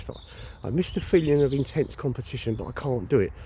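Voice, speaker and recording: A man speaks at a medium pitch. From England, London and Kent. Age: 60s. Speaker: vlogger. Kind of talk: personal vlog monologue. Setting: outdoors on a walk.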